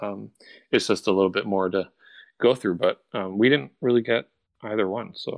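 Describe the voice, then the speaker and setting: A man with a Midwestern US accent, fairly low in pitch, with vocal fry, a moderate pace and long, frequent pauses. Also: ordinary pitch variation, quiet background. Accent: US Midwest. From Ohio and Tuscany, Italy. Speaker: violinist. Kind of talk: casual chat. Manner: halting, many fillers.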